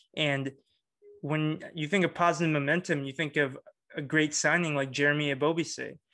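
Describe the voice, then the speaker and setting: Against a quiet background, a man speaks at a moderate pace in a fairly high voice. His tone is bright and sharp, and his intonation is fairly even. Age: 20s. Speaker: soccer podcast host. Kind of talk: casual sports chat.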